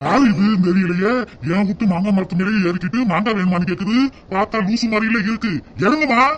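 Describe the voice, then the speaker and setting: Over clear background noise, a man puts on a cartoonish character voice with a high pitch. He keeps a moderate pace with ordinary pitch variation. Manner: gruff, scolding.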